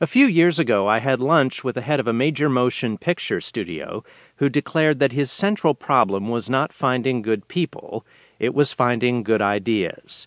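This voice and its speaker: A normal speaking voice at a moderate pace, lively in intonation, with a quiet background and a dry, close sound with no echo. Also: man, medium pitch for a man. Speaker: audiobook narrator. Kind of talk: audiobook reading of a business article, formal and polished. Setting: studio. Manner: measured, steady, clear; formal, authoritative.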